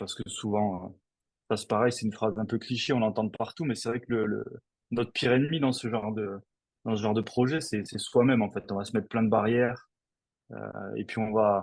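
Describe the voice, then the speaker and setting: Speaking at a fairly quick pace with long, frequent pauses, a man keeps a medium pitch and fairly even intonation. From southern France. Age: 40s. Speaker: stuntman. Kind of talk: interview. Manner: hesitant, many fillers.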